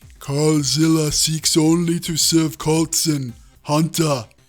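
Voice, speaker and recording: Putting on a character voice, a man talks in a fairly high register. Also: fairly slow pace. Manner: serious, servile.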